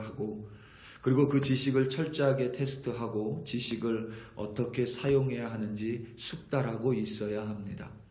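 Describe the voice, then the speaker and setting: At a fairly slow pace, a man talks with fairly even intonation, and audible room echo surrounds his voice. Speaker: pastor. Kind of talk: sermon. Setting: church.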